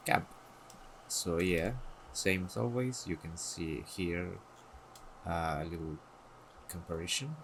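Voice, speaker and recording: A non-native accent comes through in a bright, sharp tone. The pace is very slow, the intonation lively. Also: man. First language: not English. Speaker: gaming content creator. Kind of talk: casual tutorial showcase. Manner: halting, hesitant.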